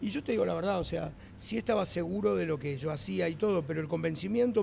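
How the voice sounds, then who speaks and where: Speech runs at a fairly quick pace. Audible room echo and noticeable background noise are present. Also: man. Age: 60s. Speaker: restaurant co-owner. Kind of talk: interview. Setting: restaurant.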